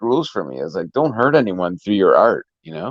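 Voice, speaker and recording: A man's voice with vocal fry at a moderate pace, dry and close with no echo, over a quiet background. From Canada. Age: 40s. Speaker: musician. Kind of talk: casual interview chat.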